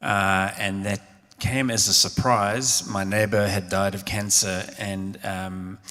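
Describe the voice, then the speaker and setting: A man with a South African accent, fairly low pitch, a very slow pace and monotone, flat intonation. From South Africa, Cape Town. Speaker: theologian and minister. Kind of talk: live public conversation. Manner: hesitant, many fillers.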